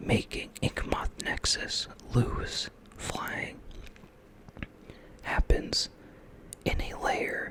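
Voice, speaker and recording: A very slow whisper over noticeable background noise, broken by long, frequent pauses. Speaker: ASMR creator. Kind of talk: ASMR card game tutorial. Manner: whispered.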